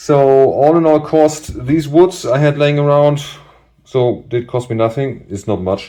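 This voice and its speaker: With a non-native accent, a man speaks fairly slowly in a fairly high voice with a dark, mellow tone and ordinary pitch variation. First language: not English. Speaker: DIY bike mechanic youtuber. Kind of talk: tutorial. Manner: hesitant, many fillers.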